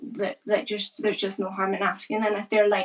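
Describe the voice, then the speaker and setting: A woman with a Scottish accent talks at a moderate pace. Her medium-pitched voice shows ordinary pitch variation. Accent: Scottish accent with deaf speech features. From Scotland. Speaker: content creator raising deaf awareness. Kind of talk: casual interview conversation. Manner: animated, many fillers.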